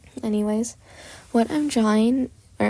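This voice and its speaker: A woman whispers quietly at a moderate pace. The recording is very clean, with a silent background. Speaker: amateur artist and video creator. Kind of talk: speedpaint voiceover commentary. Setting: home recording late at night. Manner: whispery.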